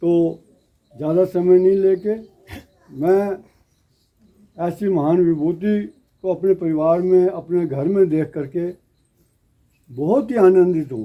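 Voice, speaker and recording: This man speaks with a high pitch and ordinary pitch variation, leaving long, frequent pauses. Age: 70s. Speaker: local host family elder speaking at religious event. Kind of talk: public speech to devotees.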